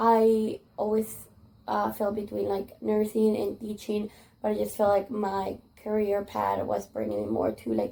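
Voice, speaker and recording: A fairly slow pace with a Spanish accent. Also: woman. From Spanish-speaking country. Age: 20s. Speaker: kindergarten teacher. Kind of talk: interview. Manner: casual, many fillers.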